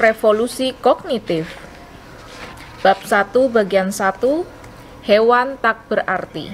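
Speaking at a very slow pace with long, frequent pauses, a woman shows ordinary pitch variation over light background noise. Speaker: audiobook narrator. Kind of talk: audiobook narration. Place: home room.

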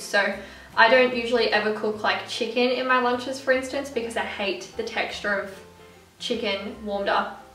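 Over faint background music, a woman talks at a moderate pace with fairly even intonation and audible room echo. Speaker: food vlogger. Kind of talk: casual vlog chat. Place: kitchen. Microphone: camera far.

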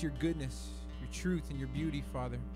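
A man at a moderate pace, dry sound with no echo, clear music playing in the background. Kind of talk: prayer. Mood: calm, reverent. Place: church. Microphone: handheld.

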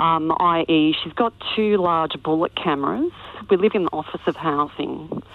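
The pace is fairly slow, and the pitch varies in an ordinary way. It is a plain, everyday voice. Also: woman, fairly low pitch for a woman. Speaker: caller. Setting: phone call.

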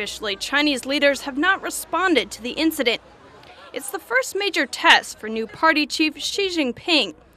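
A woman speaks in a raised, projected voice, high in pitch, at a moderate pace. Her pitch swings very widely, her loudness shifts a lot, and there is noticeable background noise. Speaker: news reporter. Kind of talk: scripted news report voiceover.

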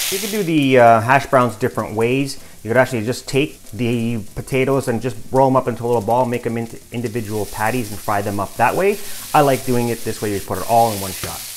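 A man talks at a very fast pace with ordinary pitch variation over light background noise. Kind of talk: cooking tutorial. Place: kitchen. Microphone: phone near.

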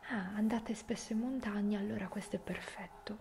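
Amid noticeable background noise, a woman speaks with fairly even intonation. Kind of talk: ASMR role-play chat to the viewer.

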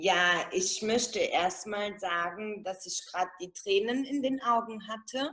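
This woman talks at a very slow pace with a medium pitch and ordinary pitch variation. The background is quiet. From Italian-German background. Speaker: network marketing seller. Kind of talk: testimony. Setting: video call. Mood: emotional, moved. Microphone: video call.

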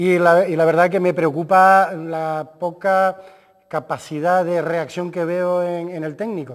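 The background is quiet as a man speaks at a fairly slow pace. His voice is high-pitched, with monotone, flat intonation. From Canary Islands. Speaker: sports doctor and football coach; football coach. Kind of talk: casual chat. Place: studio.

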